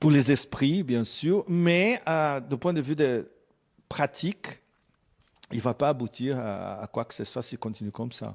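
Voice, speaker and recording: Against a quiet background, a man with a Brazilian accent speaks at a very slow pace with long, frequent pauses, a fairly high pitch, lively intonation and big swings in loudness. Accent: non-native French, Brazilian. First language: Portuguese (speaking French). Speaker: geopolitical analyst. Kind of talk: interview. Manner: halting, many hesitations.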